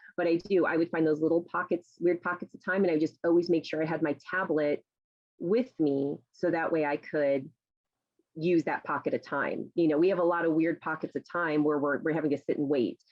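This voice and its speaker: A woman talks at a fairly quick pace. Her intonation stays fairly even. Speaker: novelist and teacher. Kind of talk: talk to a writers' group. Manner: fast; chatty, many fillers.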